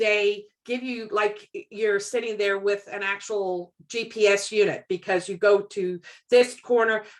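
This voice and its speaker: At a moderate pace, a woman talks with a medium pitch and fairly even intonation. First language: not English. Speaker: community member. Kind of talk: casual video call discussion.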